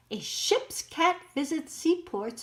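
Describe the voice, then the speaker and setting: A put-on character voice at a fairly slow pace. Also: woman. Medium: read story. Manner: proud.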